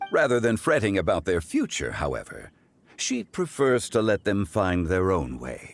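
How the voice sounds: Low-pitched with vocal fry, a man performs a put-on character voice. His pitch swings very widely at a moderate pace.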